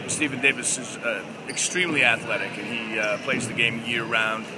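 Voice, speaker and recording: Loud background noise behind a man's moderate-paced speech. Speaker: high school basketball coach. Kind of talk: interview answer.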